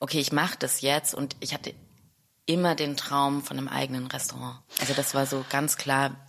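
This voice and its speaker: A woman speaks with a very deep, low pitch. Her intonation is monotone and flat, and her pace is moderate. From Stuttgart, Germany. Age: 30s. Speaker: chef and restaurant owner. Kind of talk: interview.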